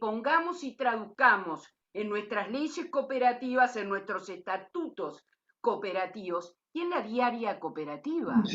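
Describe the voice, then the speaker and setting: The woman's voice sits fairly high in pitch. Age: 60s. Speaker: lawyer and cooperative member. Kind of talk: closing remarks at a talk.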